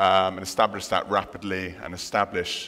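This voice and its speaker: This man has a bright, sharp tone. His speed is medium. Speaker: conference speaker. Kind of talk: lecture. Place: hall. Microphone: headset.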